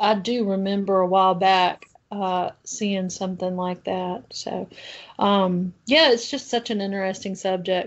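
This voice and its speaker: A woman with a Southern US accent, medium pitch, fairly even intonation and a fairly slow pace. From US South. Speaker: podcast host. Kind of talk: interview.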